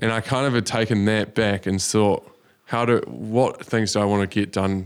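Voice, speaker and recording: A man with a New Zealand accent, fairly quick pace and fairly even intonation, on a very clean recording with a silent background. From New Zealand, rural North Island near Wellington. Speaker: social entrepreneur, company founder. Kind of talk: interview. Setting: studio.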